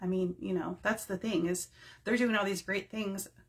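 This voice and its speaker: This voice is somewhat breathy, with fairly even intonation. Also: woman. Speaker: direct sales team leader. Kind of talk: live-streamed training talk. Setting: home office, facebook live. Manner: casual, rambling with fillers.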